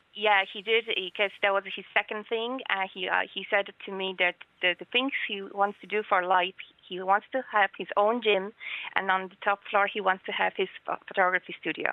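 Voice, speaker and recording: A woman speaks with a Polish accent at a medium pitch. Her intonation is fairly even and her pace moderate. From Poland. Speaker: guest. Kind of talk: radio interview, emotional.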